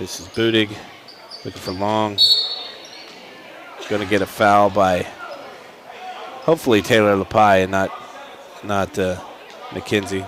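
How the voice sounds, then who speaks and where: A man speaks at a moderate pace with fairly low pitch and fairly even intonation, leaving long, frequent pauses. Noticeable background noise runs underneath. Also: big swings in loudness. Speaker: high school basketball play-by-play announcer. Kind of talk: live sports commentary.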